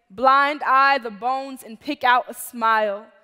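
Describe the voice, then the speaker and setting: Faint music plays behind a woman with a high pitch who speaks at a fairly slow pace with ordinary pitch variation. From Chicago. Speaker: poet. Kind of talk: spoken word performance. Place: stage. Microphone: headset.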